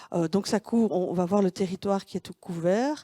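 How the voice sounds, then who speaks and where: Here a woman speaks at medium pitch with a Belgian accent and fairly even intonation. The sound is dry and close with no echo, on a very clean recording with a silent background. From Belgium, Wallonia. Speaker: tourism consultant. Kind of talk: conference presentation. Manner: halting, many hesitations.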